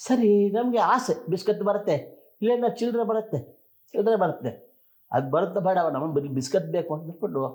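A man's voice is pitched high. He uses lively intonation. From Mysore, Karnataka. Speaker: comedian actor. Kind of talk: interview storytelling.

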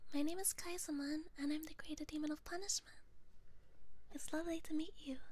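Dry and without echo, the voice moves at a fairly quick pace with fairly even intonation. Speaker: ASMR vtuber streamer. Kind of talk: guided motivation whisper, ASMR affirmations; ASMR roleplay as a demon character. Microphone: studio mic.

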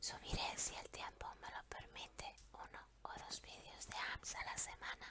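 A woman whispers at a fairly slow pace. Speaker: ASMR storyteller. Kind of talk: channel announcement to camera.

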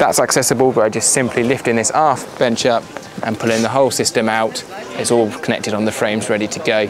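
Over noticeable background noise, a man talks at a very fast pace, the sound dry with no echo. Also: medium pitch for a man. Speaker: boat sales representative. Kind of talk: on-board walkthrough tour of a boat for sale. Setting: outdoors aboard a boat at a boat show. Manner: brisk, upbeat salesman patter with run-on descriptions. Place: boat.

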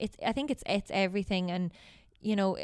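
In a quiet setting with dry, echo-free sound, a woman speaks at a very fast pace. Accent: western Irish. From Ireland, Galway; Ireland. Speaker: Gaelic football player and teacher; teacher. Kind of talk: casual interview. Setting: hotel. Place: meeting room. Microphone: handheld.

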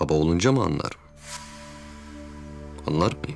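Faint music plays behind a man doing a put-on character voice. His low voice carries vocal fry. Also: lively intonation, moderate pace, slightly mellow tone.

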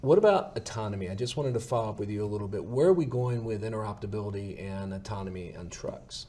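A man's dark, mellow, somewhat breathy voice at a very fast pace with fairly even intonation. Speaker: webinar host. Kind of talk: webinar interview. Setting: webinar. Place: studio. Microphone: lapel.

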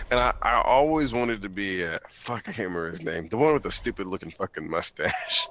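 A man speaks at a medium pitch and a fairly quick pace. His intonation is lively, with noticeable background noise. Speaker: gamer. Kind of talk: casual chat. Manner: animated.

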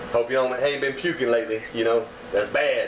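Light background noise and audible room echo accompany the recording. A man speaks at a fairly quick pace. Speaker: cooking vlogger. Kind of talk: casual vlog chat. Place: kitchen. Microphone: camera far.

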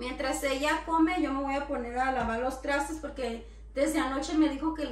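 A woman's high-pitched voice at a fairly quick pace, fairly even intonation, audible room echo. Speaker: home vlogger. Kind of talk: casual vlog chat. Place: kitchen.

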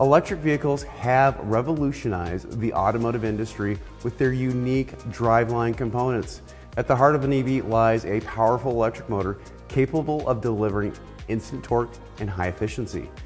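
A man talks at a fairly quick pace with ordinary pitch variation. Faint music plays in the background. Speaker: automotive trainer. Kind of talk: lecture. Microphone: lapel.

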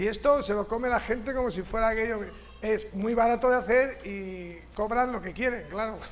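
A man speaks at a high pitch with a Castilian accent. His pace is moderate and his intonation fairly even. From Castilla-La Mancha, Spain. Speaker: writer and university director; lecturer. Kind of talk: lecture. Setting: stage with audience. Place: classroom. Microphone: camera far.

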